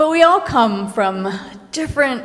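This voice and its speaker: Audible room echo is in the recording. It carries a woman's voice. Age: 60s. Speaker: minister. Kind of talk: sermon. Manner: conversational, with self-corrections.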